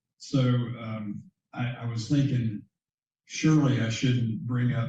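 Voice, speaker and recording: In an American accent, a man talks at a fairly slow pace with a dark, mellow, somewhat breathy tone and fairly even intonation, with audible room echo around him. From US South, Central Florida. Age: 60s. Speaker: bank founder and CEO. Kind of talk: interview conversation. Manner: halting, many fillers.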